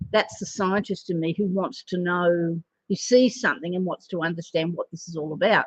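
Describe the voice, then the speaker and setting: With an Australian accent, this somewhat breathy voice goes at a fairly quick pace with ordinary pitch variation in a dry, close sound with no echo. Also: woman. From Australia, Sydney northern beaches. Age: 60s. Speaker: animal communicator and psychic. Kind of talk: spiritual card reading monologue. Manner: casual, hesitant with many fillers.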